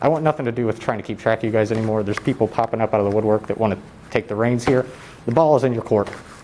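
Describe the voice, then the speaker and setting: Over noticeable background noise, a man speaks very fast at medium pitch with fairly even intonation. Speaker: public commenter and YouTube channel owner. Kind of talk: public comment at council meeting. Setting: council meeting hall. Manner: too quiet at first.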